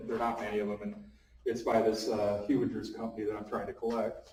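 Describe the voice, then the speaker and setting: A man talks at a fairly quick pace with audible room echo. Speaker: map collector and cartographer. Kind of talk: seminar talk. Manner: fast; halting, many fillers.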